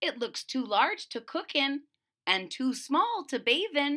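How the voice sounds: In a put-on character voice, a woman speaks slowly at a high pitch with big pitch swings and a bright, sharp tone, on a very clean recording with a silent background.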